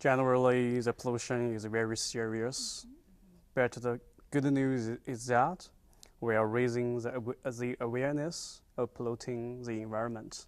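Monotone and flat, a man speaks with a Chinese accent. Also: moderate pace, big swings in loudness. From China. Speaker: visiting scholar, environmental chemist. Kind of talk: interview. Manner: halting. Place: studio. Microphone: lapel.

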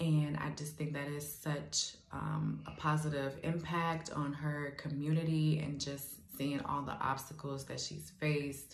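A woman with an American accent speaks in a very deep, low, monotone voice with flat intonation at a fairly slow pace. Light background noise and audible room echo are present. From Gary, Indiana. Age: 20s. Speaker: beauty school student. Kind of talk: scholarship application video. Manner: hesitant with frequent fillers. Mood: earnest, hopeful. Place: home room. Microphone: phone near.

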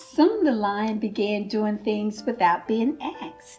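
Faint music plays in the background. A woman speaks at a fairly slow pace with lively intonation. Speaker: church volunteer storyteller. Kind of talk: children's picture-book read-aloud. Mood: warm, gentle, smiling.

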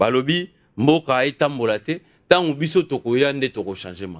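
Lively intonation from a man with a fairly high pitch, moderate pace, quiet background. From DR Congo. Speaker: tv talk show host. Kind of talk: political interview. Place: studio. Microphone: studio mic.

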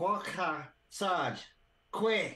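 A put-on character voice with a hissing quality. The pitch sits in the middle range.

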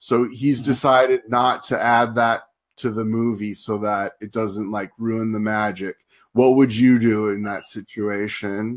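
Speaking in an American accent, a man talks at a fairly slow pace in a monotone, flat intonation. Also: medium pitch for a man. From Southern California, US. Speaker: online show host and film reviewer. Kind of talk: casual interview chat. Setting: live stream broadcast.

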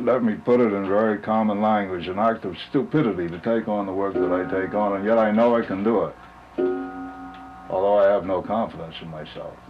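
Clear music sits in the background as a man speaks at a fairly quick pace. His pitch is fairly low and his intonation fairly even. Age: 70s. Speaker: handyman and clock restorer. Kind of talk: interview answer. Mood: reflective, modest. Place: home room.

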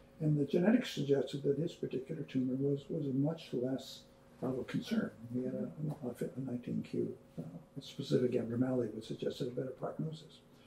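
A man speaks at a fairly quick pace with lively intonation, over light background noise and audible room echo. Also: medium pitch for a man. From Canada. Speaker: neurosurgeon. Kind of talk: casual reminiscing conversation. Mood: calm, reflective. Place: kitchen.

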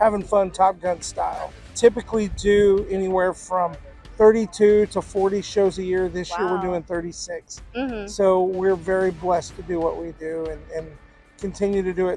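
Faint music plays behind a man whose high voice moves at a moderate pace with monotone, flat intonation, the sound dry with no echo. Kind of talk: interview answer. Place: open country. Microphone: lapel.

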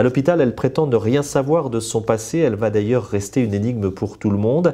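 Against a quiet background, a man talks at a very fast pace, with lively intonation and a dark, mellow tone. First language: French. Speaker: literary interviewer. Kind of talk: interview. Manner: formal. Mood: warm, smiling. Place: studio. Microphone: lapel.

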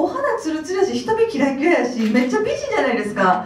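Very wide pitch swings ring out over audible room echo. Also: woman. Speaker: actress. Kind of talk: press conference interview answer. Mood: warm, cheerful, praising. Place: hall.

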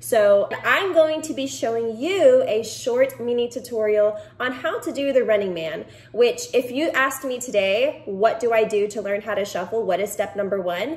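The speaker has an American accent and lively intonation. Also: woman, high pitch for a woman, moderate pace. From Texas. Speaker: dance instructor. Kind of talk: tutorial. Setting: at home. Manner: animated.

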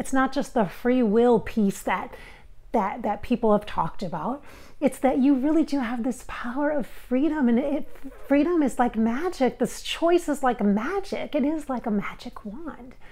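Woman's high-pitched voice with a dark, mellow tone, lively intonation and a moderate pace. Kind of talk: channeling session monologue. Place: home room. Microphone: lapel.

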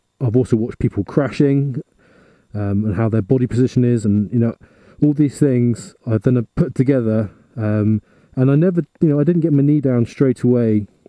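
A man speaks at a moderate pace with very even loudness and ordinary pitch variation. The sound is dry with no echo, and the background is quiet. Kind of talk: casual vlog tutorial. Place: garage.

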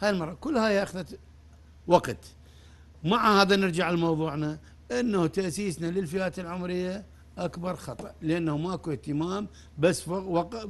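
A man speaks fairly slowly with an Iraqi accent. His pitch is high, with ordinary variation. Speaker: football coach. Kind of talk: studio interview. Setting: studio. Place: studio.

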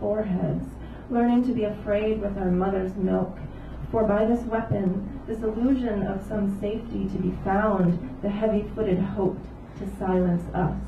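With fairly even intonation, a woman speaks at a moderate pace against noticeable background noise. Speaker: poet. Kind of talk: reading poems aloud. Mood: calm, solemn. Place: cafe.

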